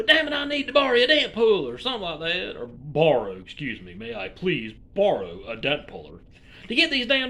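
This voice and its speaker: Projecting his raised voice in an Alabama accent, a man talks at a fairly quick pace with very wide pitch swings. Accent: US Southern (Alabama). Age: 40s. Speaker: YouTuber. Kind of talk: casual rant to camera.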